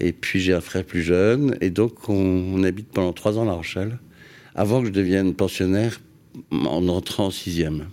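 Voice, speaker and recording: A man's very deep, low voice with a dark, mellow tone, ordinary pitch variation and a moderate pace, on a very clean recording with a silent background. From France, Paris region and Île de Ré. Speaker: landscape gardener. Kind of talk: radio interview. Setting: radio studio. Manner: halting, many hesitations.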